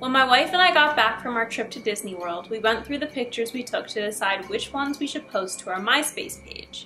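Light background noise sits behind a woman with a high pitch. She speaks at a fairly quick pace with hardly any pauses. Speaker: YouTuber reading horror stories. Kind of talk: scripted horror story reading with casual commentary. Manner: casual, chatty. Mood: relaxed, playful. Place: home room.

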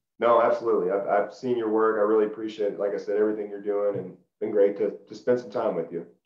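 A man rattles along at a very fast pace with hardly any pauses, in a flat monotone at a fairly low pitch, with audible room echo over a quiet background. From Middle Tennessee (Lebanon); Tennessee. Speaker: former college football player; interview guest. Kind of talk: casual interview. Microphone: video call.

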